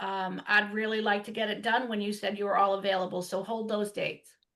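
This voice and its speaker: The woman's voice sits at a fairly high pitch. Her intonation is monotone and flat. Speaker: hiring process consultant. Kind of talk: remote meeting update. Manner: loud.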